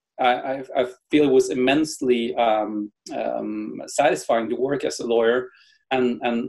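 A man speaks with a Norwegian accent. The background is quiet. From Norway. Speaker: tech entrepreneur and lawyer. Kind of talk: interview. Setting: video call. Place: home room. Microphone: webcam.

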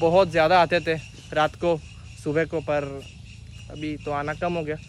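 A man speaks at a fairly slow pace in a high voice with fairly even intonation, the sound dry with no echo over light background noise. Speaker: motovlogger. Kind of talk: casual vlog chat. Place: waterside. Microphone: phone near.

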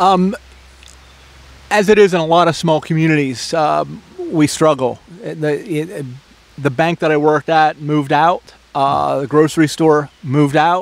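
Fairly high-pitched, a man with an American accent talks with vocal fry. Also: fairly even intonation, fairly slow pace.

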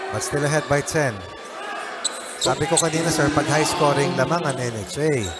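Upbeat in tone, a man speaks at a moderate pace and a fairly high pitch, taking long, frequent pauses against noticeable background noise. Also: ordinary pitch variation. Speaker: color commentator. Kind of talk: live sports commentary. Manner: conversational, upbeat analyst, Taglish.

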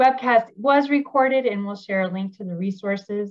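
Against a quiet background, the speaker uses lively intonation at a moderate pace. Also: woman. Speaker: webinar host. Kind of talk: webinar introduction. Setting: video call. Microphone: video call.

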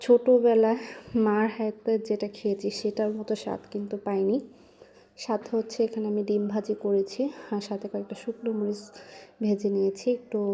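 A woman with a fairly high pitch talks in a flat monotone. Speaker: vlogger. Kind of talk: casual vlog narration.

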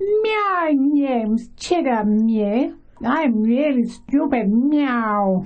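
A put-on character voice in an English accent, at a very slow pace. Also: woman, high pitch for a woman. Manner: mocking, dopey.

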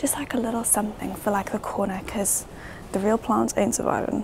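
A woman's voice with fairly even intonation, a dry sound with no echo, and light background noise. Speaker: vlogger. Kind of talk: casual vlog chat. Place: shop. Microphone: lapel.

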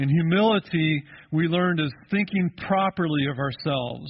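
A man's speech shows ordinary pitch variation and keeps a moderate pace. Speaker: pastor. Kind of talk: sermon. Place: church.

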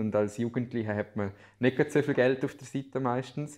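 In a quiet background, a man with a plain, everyday voice talks at a moderate pace, his medium pitch held in fairly even intonation. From Liechtenstein, Balzers; Liechtenstein. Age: 20s. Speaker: student teacher and amateur weather forecaster; student teacher. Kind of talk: interview. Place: office.

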